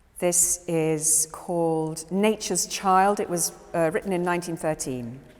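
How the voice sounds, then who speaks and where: A woman with a fairly low pitch talks at a fairly slow pace, with hardly any pauses and ordinary pitch variation. Noticeable background noise runs under her voice. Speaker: actress. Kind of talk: casual spoken introduction to an audience. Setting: live event in a gallery.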